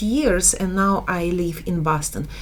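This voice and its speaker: The speaker has a Slavic accent and a fairly slow pace. Audible room echo surrounds the voice. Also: woman. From Slavic country, Eastern Europe. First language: Slavic language. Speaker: business educator. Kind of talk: online course lecture. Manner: halting.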